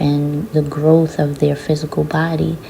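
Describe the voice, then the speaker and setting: Very slow speech from a woman with a very deep, low voice, amid noticeable background noise. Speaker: spiritual channeler and oracle reader. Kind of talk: channeled oracle reading. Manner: hesitant, with many fillers.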